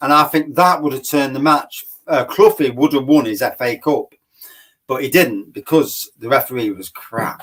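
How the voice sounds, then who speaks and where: With an East Midlands accent, a man speaks with ordinary pitch variation. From Nottingham, England. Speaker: beer reviewer. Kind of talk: casual chat. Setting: live stream.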